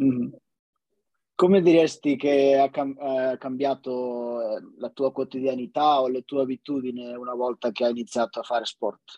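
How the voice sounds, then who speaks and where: A man at a medium pitch and fairly slow pace, with fairly even intonation, long, frequent pauses and a dry, close sound with no echo. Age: 30s. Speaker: podcast host. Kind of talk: casual interview chat. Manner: halting, many repetitions and fillers.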